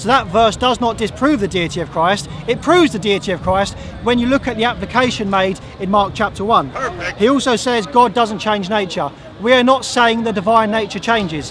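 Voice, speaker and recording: Against noticeable background noise yet with a dry sound and no echo, a man talks at a fairly quick pace in a high pitch. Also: ordinary pitch variation. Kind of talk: formal debate. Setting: outdoors. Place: open country.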